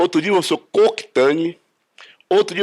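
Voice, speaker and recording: A man speaks in a high pitch at a moderate pace. His pitch variation is ordinary. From Brazil, Rio de Janeiro then Brasília. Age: 70s. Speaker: judo master. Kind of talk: interview testimony. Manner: hesitant, repeats words.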